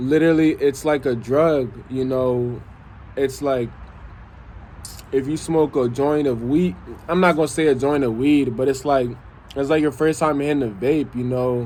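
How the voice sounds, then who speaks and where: A man speaks with a fairly high pitch and fairly even intonation. He leaves long, frequent pauses. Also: moderate pace. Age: 20s. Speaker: vlogger. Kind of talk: personal vlog monologue.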